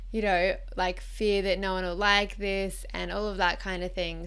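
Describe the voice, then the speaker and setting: A woman with an Australian accent at a medium pitch, in a monotone, flat intonation, with audible room echo. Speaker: lifestyle vlogger. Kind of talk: casual chat. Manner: casual, unscripted.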